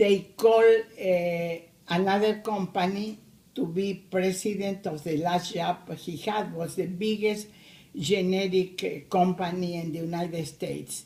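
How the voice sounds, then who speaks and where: A woman in a Spanish accent, medium in pitch, at a fairly slow pace. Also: fairly even intonation. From Argentina. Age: 80s+. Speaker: immigrant grandmother. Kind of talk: family interview. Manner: halting.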